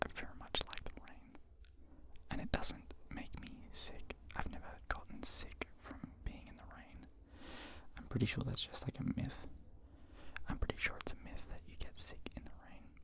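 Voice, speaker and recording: This man whispers, pausing long and often. His loudness swings widely. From Australia. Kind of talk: ASMR whisper ramble, casual talk to camera. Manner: quiet, slow, rambling, whispery.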